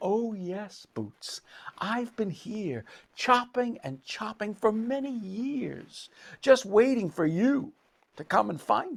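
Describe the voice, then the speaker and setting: Fairly slow delivery in a fairly high-pitched, put-on character voice. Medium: read story. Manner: warm, patient.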